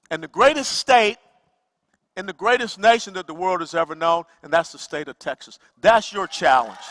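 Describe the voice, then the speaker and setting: A man with an American accent speaks in a high pitch at a moderate pace. His lively intonation and big swings in loudness come through a dry, close sound with no echo. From US South. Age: 60s. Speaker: political speaker. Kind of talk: motivational speech.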